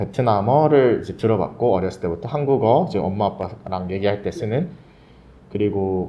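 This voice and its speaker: Spoken at a moderate pace in an ordinary speaking voice, the delivery has lively intonation and big swings in loudness. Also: man, fairly low pitch for a man. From Korean family abroad, Thailand from age 11. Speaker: podcast guest. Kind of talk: casual chat.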